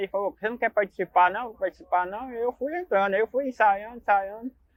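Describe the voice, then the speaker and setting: The man talks at a very fast pace. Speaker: congo dancer and cart worker. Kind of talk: documentary interview.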